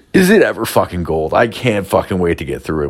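Speaking at a moderate pace, a man uses an animated tone. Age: 30s. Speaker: solo podcaster, factory worker. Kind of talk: casual storytelling monologue. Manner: profane, animated.

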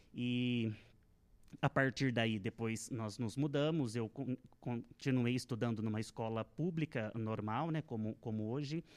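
A man talks at a fairly slow pace in a plain, everyday voice, medium in pitch with ordinary pitch variation. The background is quiet. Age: 30s. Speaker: Portuguese language teacher. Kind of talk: interview. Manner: formal.

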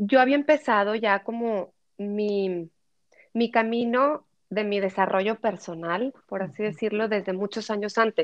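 Her pace is fairly slow. This woman speaks with a fairly high pitch. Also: ordinary pitch variation. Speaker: podcaster and personal development content creator. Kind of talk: interview. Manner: slow, measured.

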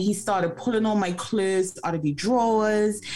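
A woman's pitch varies in an ordinary way while noticeable background noise sits behind her. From Bermuda. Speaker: mindset coach. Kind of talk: personal testimony interview. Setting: remote interview.

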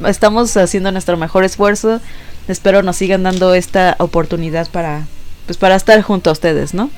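A woman speaks at a moderate pace and medium pitch, with music in the background. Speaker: podcast co-host. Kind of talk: casual chat.

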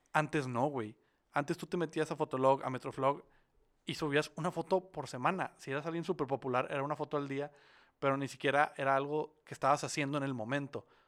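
At a fairly quick pace, a man with an unremarkable speaking voice talks at a fairly high pitch with fairly even intonation, on a very clean recording with a silent background. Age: 20s. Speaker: podcast co-host. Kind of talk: casual chat.

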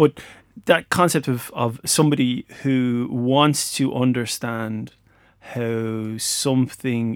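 In an Irish accent, a man of medium pitch speaks on a very clean recording with a silent background. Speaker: podcast host and lecturer. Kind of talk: casual interview chat. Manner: jokey, light-hearted.

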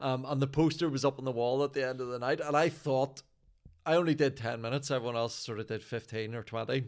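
Speaking at a very fast pace with a Northern Irish accent, a man keeps a medium pitch and fairly even intonation. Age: 40s. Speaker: stand-up comedian. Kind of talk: casual chat.

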